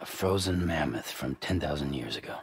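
A man's put-on character voice, extremely low with vocal fry and lively intonation, at a moderate pace over faint background music

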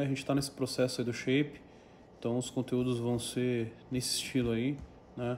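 A man talks at a moderate pace. Light background noise is audible. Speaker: fitness vlogger. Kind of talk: casual vlog chat. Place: kitchen.

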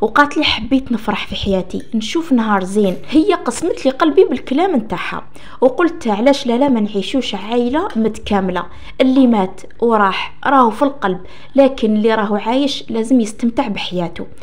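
A woman's fairly high voice with an Algerian accent and lively intonation, set against noticeable background noise. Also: moderate pace. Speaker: storytelling channel host. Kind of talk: first-person story reading.

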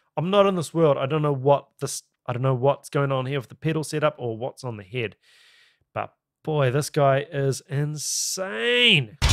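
An enthusiastic tone in a New Zealand accent, fairly slow pace, ordinary pitch variation, dry sound with no echo and a quiet background. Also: man, fairly high pitch for a man. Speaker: YouTube reaction video host. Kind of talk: reaction commentary. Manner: enthusiastic, casual. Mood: impressed, curious. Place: home room. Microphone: studio mic.

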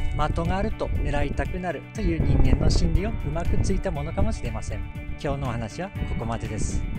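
Clear music sits behind a man talking at a moderate pace. He has a Tsugaru accent, and the sound is dry with no echo. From Tsugaru, Aomori. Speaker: behavioral economist. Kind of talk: educational talk to camera. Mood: calm, friendly, smiling. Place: open country. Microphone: phone near.

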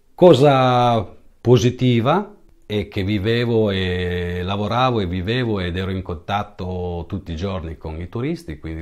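A man speaks with a fairly low pitch and lively intonation. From northern Italy (Piedmont, then Liguria, Savona province). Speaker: musician, drummer. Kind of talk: personal storytelling monologue. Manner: halting, with many repetitions and fillers.

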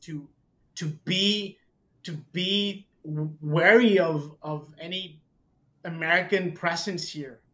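A man talks with a Spanish accent at a high pitch. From Mexico. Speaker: tax and legal advisor. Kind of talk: casual chat. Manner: halting.

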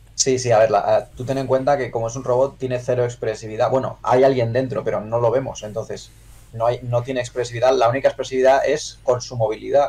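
Very fast and with hardly any pauses, a man speaks in a somewhat breathy voice with monotone, flat intonation. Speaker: miniature painter; streamer reviewing miniatures. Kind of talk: livestream review chat. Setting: live stream. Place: home room.

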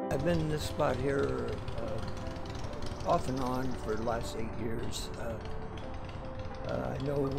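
A very slow pace with loud music in the background. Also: man. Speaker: street artist. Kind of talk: interview answer. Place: street. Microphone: phone near.

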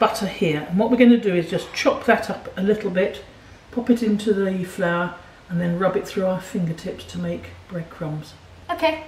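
Ordinary pitch variation marks this woman's speech at a moderate pace. Some room echo and light background noise can be heard. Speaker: home cook host. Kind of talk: cooking tutorial. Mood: warm, encouraging. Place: kitchen.

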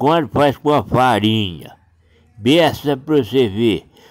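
With a rural Minas Gerais accent, a man speaks at a fairly high pitch with ordinary pitch variation. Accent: rural Minas Gerais (caipira). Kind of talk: folk storytelling. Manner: casual, chatty.

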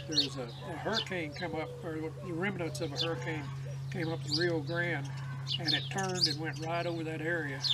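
Loud background noise accompanies a man as he speaks. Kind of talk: casual storytelling. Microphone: camera far.

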